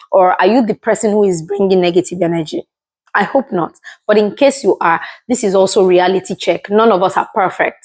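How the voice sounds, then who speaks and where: Fairly quick speech from a woman with a Yoruba accent, at very even loudness, in a dry, close sound with no echo and a very clean recording with a silent background. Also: medium pitch for a woman, ordinary pitch variation. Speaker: motivational video creator. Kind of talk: motivational talk to camera.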